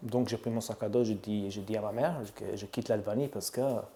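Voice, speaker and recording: This man's dark, mellow tone moves along at a fairly quick pace. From Albania. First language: Albanian (speaking French). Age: 30s. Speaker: barbershop owner. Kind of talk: interview. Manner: halting.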